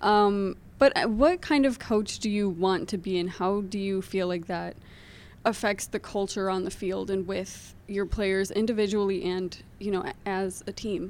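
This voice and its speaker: A woman talks at a moderate pace and medium pitch in a plain, everyday voice. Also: fairly even intonation. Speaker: student podcast co-host. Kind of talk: casual chat.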